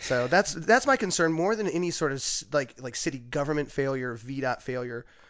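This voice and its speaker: An ordinary speaking voice with lively intonation at a fairly quick pace. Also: man, fairly high pitch for a man. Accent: American. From US South, southwestern Virginia (Pulaski County). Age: 40s. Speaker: chef and restaurant owner. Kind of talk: casual chat. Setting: studio.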